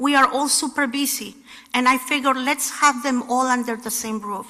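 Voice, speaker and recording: A woman uses a raised, projected voice, high in pitch and fairly even in intonation. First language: not English. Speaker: housing nonprofit leader. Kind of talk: speech. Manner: halting.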